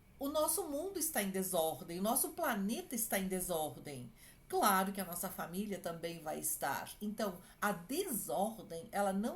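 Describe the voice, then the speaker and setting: A woman's medium-pitched voice with very wide pitch swings and audible room echo. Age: 60s. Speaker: clinical psychologist. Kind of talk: advice talk to families.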